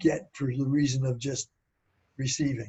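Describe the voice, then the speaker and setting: Somewhat breathy, a man with an American accent speaks at medium pitch with fairly even intonation. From US Northeast, Philadelphia. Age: 80s+. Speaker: inventor. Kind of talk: interview.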